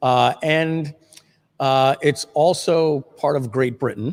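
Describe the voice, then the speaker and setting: In an ordinary speaking voice, a man with an American accent talks at a fairly high pitch with fairly even intonation, his sound dry and close with no echo. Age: 50s. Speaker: livestream host, marketer. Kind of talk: casual livestream chat. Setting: video livestream.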